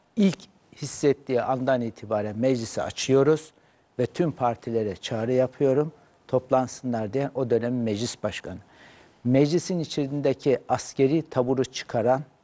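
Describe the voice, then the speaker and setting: His voice has a dark, mellow tone. The man's delivery moves at a moderate pace. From Turkey. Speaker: political commentator. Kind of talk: heated debate. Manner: animated. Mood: serious, argumentative. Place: studio. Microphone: lapel.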